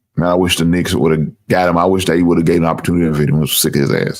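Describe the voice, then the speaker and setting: A man speaks in an animated tone with music playing in the background. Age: 50s. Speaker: sports show host. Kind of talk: casual live-stream chat; reading aloud.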